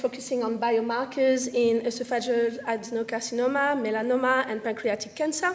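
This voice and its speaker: A high-pitched woman with a French accent, fairly quick in pace and fairly even in intonation. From French Caribbean. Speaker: medical science liaison, former researcher. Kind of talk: career talk to audience.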